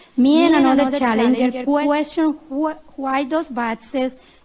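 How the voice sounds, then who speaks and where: Noticeable background noise sits behind a woman's high voice. She keeps a moderate pace and fairly even intonation. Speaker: poll challenger giving witness testimony. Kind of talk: testimony.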